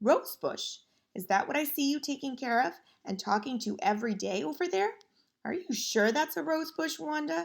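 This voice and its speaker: A woman's raspy, put-on character voice, high-pitched with very wide pitch swings, at a moderate pace. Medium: read story.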